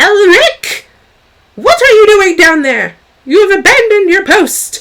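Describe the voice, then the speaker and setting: This put-on character voice is shrill and extremely high-pitched. It moves at a moderate pace. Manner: loathed, cutting, scolding.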